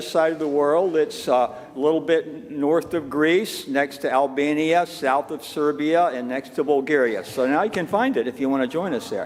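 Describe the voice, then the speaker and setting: There is noticeable background noise as a man speaks at a moderate pace. His pitch is fairly high, with ordinary variation. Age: 70s. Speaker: minister. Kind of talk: casual chat. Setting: church. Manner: halting.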